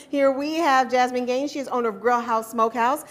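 The speech runs at a fairly quick pace against light background noise. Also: woman. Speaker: TV show host. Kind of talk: interview. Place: studio. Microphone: lapel.

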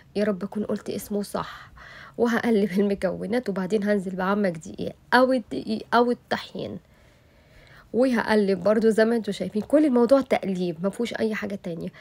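A woman with an Egyptian accent, medium in pitch, at a moderate pace with ordinary pitch variation. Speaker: cooking YouTuber. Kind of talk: cooking tutorial. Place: kitchen.

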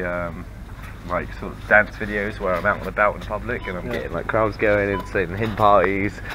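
With an English accent, the speaker moves at a fairly quick pace over noticeable background noise. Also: man. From England. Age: 30s. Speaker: vlogger. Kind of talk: vlog monologue. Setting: outdoors.

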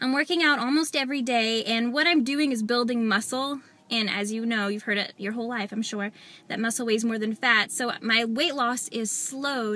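The tone is bright and sharp, the sound dry with no echo, delivered at a moderate pace with ordinary pitch variation. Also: woman, fairly high pitch for a woman. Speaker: weight loss vlogger. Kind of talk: vlog update. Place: car. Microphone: phone near.

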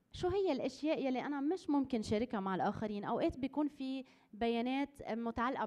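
A woman with a Lebanese accent at a moderate pace, showing ordinary pitch variation, over a quiet background. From Lebanon. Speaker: conference presenter. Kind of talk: workshop presentation. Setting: conference hall with audience. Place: hall. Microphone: podium.

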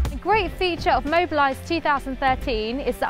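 Music plays in the background as a woman talks at a moderate pace. Her tone is relaxed. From England. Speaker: TV presenter. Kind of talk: corporate promotional read. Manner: lively, relaxed, personable.

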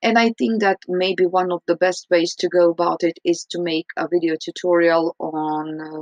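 A woman with a Croatian accent speaks at a fairly low pitch with fairly even intonation, her voice dry and free of echo against a quiet background. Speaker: English teacher. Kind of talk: recorded reflection. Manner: hesitant, frequent fillers. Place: home room. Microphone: webcam.

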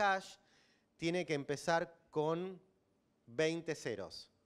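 In a Rioplatense accent, the speaker goes at a very slow pace with ordinary pitch variation against a quiet background. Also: man. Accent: Argentine Rioplatense Spanish. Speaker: systems engineer, bitcoin developer; conference speaker. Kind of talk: lecture. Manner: loud. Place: hall. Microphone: handheld.

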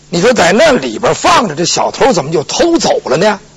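Over noticeable background noise, a man's voice makes very wide pitch swings. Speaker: pingshu storyteller. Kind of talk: pingshu storytelling performance of a legal case. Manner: lively, colloquial, humorous storytelling.

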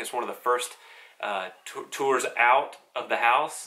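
The speaker is a man. He delivers his words in a flat, monotone way. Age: 30s. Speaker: gospel singer and devotional vlogger. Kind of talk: devotional talk; concert announcement. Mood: calm, encouraging. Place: home room.

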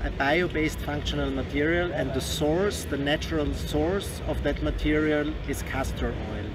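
Noticeable background noise sits behind the recording. A man speaks at a fairly slow pace. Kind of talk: interview answer. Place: hall. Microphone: handheld.

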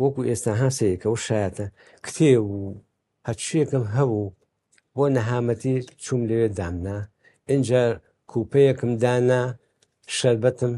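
A man's medium-pitched, dark, mellow voice at a moderate pace, with fairly even intonation and long, frequent pauses. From Iraqi Kurdistan, Sulaymaniyah; Iraqi Kurdistan. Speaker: baker and photo archive collector; interviewee. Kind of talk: interview. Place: home room. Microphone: lapel.

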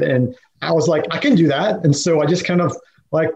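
A somewhat breathy man's voice at a moderate pace. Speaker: podcast guest. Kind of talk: interview answer. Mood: relaxed, storytelling. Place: home room. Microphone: webcam.

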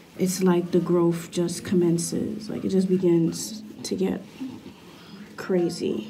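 Light background noise sits under the recording. A woman talks at a very slow pace. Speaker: vlogger. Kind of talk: casual vlog chat. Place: home room. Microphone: phone near.

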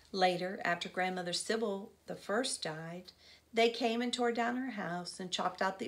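Natural-voiced reading aloud with ordinary rises and falls in pitch

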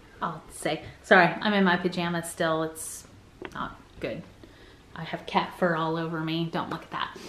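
This woman speaks at a fairly slow pace. Room echo can be heard. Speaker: family vlogger. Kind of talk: casual vlog chat. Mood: playful, teasing, laughing. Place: home room. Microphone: phone near.

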